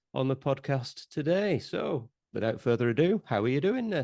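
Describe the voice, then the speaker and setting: The speaker has a northeast English accent. The pace is moderate. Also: man, quiet background. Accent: northeast English (Teesside). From northeast England, Teesside. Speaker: podcast host, property investor. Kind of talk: casual podcast intro and interview. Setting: on site in a house under renovation. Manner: casual, with many fillers.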